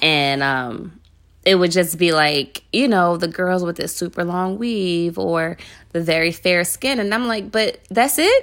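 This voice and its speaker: A fairly low-pitched woman with lively intonation at a fairly slow pace, in a very clean recording with a silent background. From Philadelphia, North Philly. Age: 30s. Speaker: podcast co-host. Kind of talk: casual chat.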